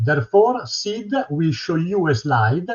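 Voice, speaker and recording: A man with an Italian accent speaks in a high pitch. His voice swings very widely up and down. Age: 60s. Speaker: retired electronics technician. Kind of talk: prepared presentation.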